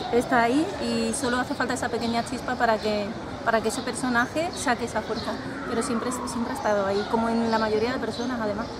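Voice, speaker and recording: A woman speaks at a very fast pace. Loud background noise fills the recording. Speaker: romance novelist. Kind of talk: casual interview. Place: garden.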